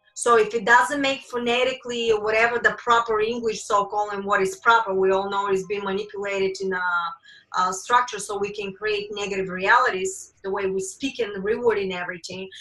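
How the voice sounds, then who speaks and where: Amid audible room echo, a woman with a bright, sharp tone speaks at medium pitch and a fairly quick pace, her intonation fairly even. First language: not English. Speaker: spiritual teacher. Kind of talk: lecture. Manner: intense, can sound angry.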